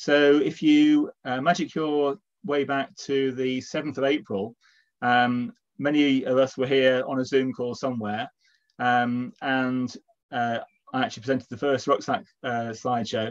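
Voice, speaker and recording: The background stays quiet. A man talks at a fairly slow pace, with ordinary pitch variation. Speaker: event host. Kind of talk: welcome introduction to an online talk. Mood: warm, lightly joking. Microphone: video call.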